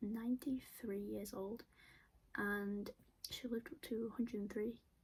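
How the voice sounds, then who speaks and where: A woman's somewhat breathy, fairly high voice with fairly even intonation. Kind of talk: casual talk to camera.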